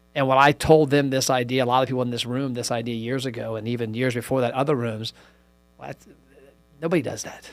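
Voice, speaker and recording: Rushing along at a very fast pace, a man speaks in a medium pitch and a monotone, flat intonation while music plays in the background. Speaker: podcast host. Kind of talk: casual conversation.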